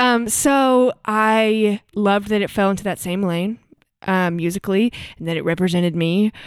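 A woman's voice at a medium pitch with ordinary pitch variation. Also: moderate pace, very clean recording, silent background. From US South. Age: 20s. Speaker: singer-songwriter.

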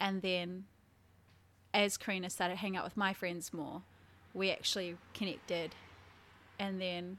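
Recorded very cleanly over a silent background, a woman with a New Zealand accent, medium pitch and a bright, sharp tone speaks at a moderate pace. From New Zealand, Taranaki. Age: 20s. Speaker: content creator and team leader. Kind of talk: casual chat. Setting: her new apartment.

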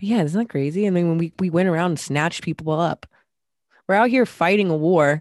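A woman talks in a normal speaking voice at a fairly quick pace. Her fairly low pitch shows ordinary variation, with a dry, close sound with no echo. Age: 30s. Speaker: podcast co-host. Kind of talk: casual chat.

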